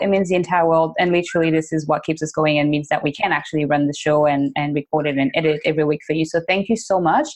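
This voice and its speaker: Speaking with a French accent, a woman talks at a very fast pace in a fairly low voice. Her loudness stays very even. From French-speaking country. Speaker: podcast co-host. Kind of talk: casual chat.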